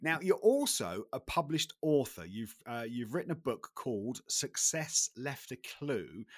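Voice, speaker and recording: With a British accent and vocal fry, the speaker moves at a fairly slow pace with hardly any pauses and very wide pitch swings, in a dry, close sound with no echo. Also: man, fairly high pitch for a man. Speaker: podcast host. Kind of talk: podcast interview. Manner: halting.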